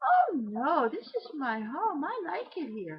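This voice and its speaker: A woman does a put-on character voice, high in pitch with very wide pitch swings. She speaks at a fairly slow pace. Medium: read story.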